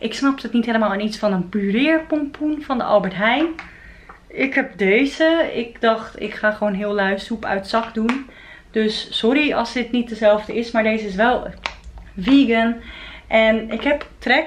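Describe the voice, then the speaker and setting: Noticeable background noise sits behind a woman speaking at a fairly slow pace, her pitch fairly high with ordinary variation. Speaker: vegan food vlogger. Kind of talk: casual vlog. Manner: animated.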